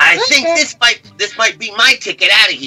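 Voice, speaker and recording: A put-on character voice, fairly high in pitch, at a moderate pace. Faint music plays in the background. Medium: actual play. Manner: enthusiastic, eager.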